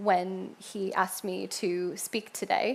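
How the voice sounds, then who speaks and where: In a New York accent, a woman speaks at a very slow pace with vocal fry. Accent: New York American. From US Northeast (Rochester, Upstate New York). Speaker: church member sharing faith story. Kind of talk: church testimony talk. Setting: church stage with congregation. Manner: casual with frequent fillers.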